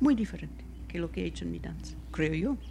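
The woman speaks at a moderate pace. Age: 60s. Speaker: choreographer and dance teacher. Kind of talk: interview.

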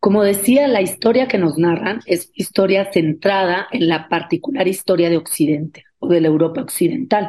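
A woman speaks at a medium pitch with a dark, mellow tone and lively intonation. She hardly pauses at all. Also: moderate pace. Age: 40s. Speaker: sociology professor and activist. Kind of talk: radio interview, explanatory.

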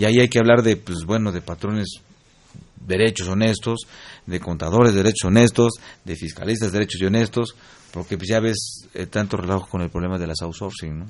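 A man speaks fairly quickly with a fairly low pitch. His loudness swings widely while his intonation stays fairly even. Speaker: radio host. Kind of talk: radio interview. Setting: studio. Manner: halting.

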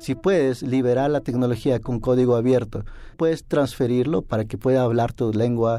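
In a very clean recording with a silent background, a man speaks at a moderate pace in a dark, mellow tone. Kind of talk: interview.

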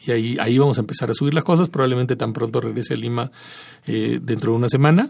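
A man speaks at a very fast pace with vocal fry. His pitch varies in an ordinary way. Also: medium pitch for a man. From Peru. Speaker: composer and sound artist. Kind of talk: radio interview. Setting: radio studio.

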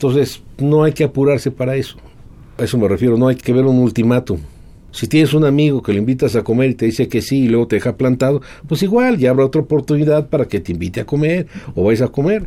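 A man's very fast, dark, mellow voice at a medium pitch with ordinary pitch variation. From Mexico City. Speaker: guitarist and lawyer. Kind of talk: interview.

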